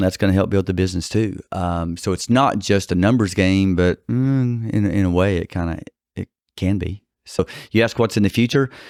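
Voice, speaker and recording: In a Texas accent, a man speaks at a fairly quick pace with a fairly low pitch and fairly even intonation. The very clean recording has a dry, close sound with no echo and a silent background. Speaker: personal injury attorney. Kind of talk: podcast interview. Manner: halting.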